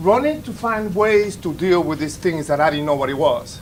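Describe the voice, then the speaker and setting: Noticeable background noise sits behind a man with a high pitch. His pitch varies in an ordinary way. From Dominican Republic. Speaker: veteran in recovery. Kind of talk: testimony. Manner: loud.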